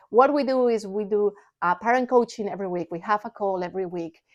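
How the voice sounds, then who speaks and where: With a Spanish accent, a woman speaks fairly quickly at a fairly high pitch, in a dry, close sound with no echo. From Spain. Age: 40s. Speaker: parent coach and vlogger. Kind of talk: personal vlog talk; sales pitch. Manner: animated.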